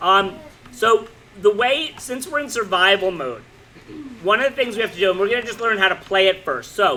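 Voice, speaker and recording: A man's raised, projected voice, high-pitched and animated, with lively intonation at a fairly quick pace over noticeable background noise. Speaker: middle school teacher. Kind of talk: classroom instruction. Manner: loud.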